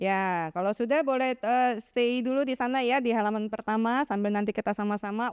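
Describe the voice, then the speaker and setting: Recorded very cleanly against a silent background, in a dry, close sound with no echo, a woman speaks at a high pitch and fairly quick pace with ordinary pitch variation. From Jakarta, Indonesia. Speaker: evangelist and children's ministry teacher. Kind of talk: seminar talk. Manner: warm, interactive with audience.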